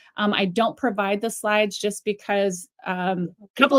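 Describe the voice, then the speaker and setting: A woman talks in a fairly high pitch with ordinary variation. The sound is dry and close, with no echo. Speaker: real estate trainer. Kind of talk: webinar presentation.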